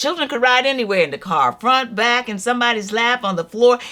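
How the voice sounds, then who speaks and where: A woman speaks with a Southern US accent and lively intonation. Her tone is bright and sharp, in a very clean recording with a silent background. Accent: Southern American English. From North Carolina, USA. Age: 70s. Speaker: storyteller. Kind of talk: casual talk to camera.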